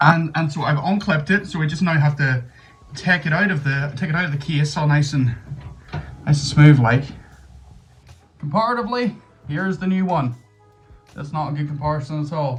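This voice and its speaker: A man with a Northern Irish accent speaks fairly quickly at a fairly high pitch with ordinary pitch variation, leaving long, frequent pauses over music in the background. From Northern Ireland. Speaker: gaming YouTuber. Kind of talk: casual talk to camera.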